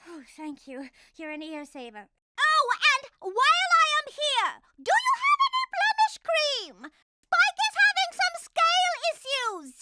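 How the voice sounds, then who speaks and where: A squeaky, cartoonish character voice, female-sounding and extremely high-pitched, with very wide pitch swings at a fairly slow pace. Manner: refined, theatrical.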